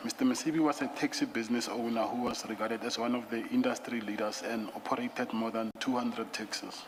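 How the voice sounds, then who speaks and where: A man rattles off speech at a very fast pace in a flat monotone of medium pitch, with noticeable background noise. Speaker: witness at commission of inquiry. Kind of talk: testimony. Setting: commission hearing room. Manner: soft-spoken; reading statement aloud, halting. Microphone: too quiet, far from the mic.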